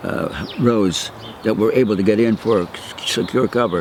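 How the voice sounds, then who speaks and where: The pace is moderate, with ordinary pitch variation. Background noise is noticeable. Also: man. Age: 80s+. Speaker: war veteran. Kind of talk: oral history interview. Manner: halting.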